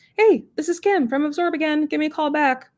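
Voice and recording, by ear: A woman puts on a squeaky character voice, high in pitch. She talks at a fairly quick pace.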